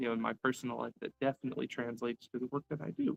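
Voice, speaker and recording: Very fast speech with a dry, close sound and no echo. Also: man. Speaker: former Disney college program worker, livestream host. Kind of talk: livestream Q&A. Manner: casual, conversational.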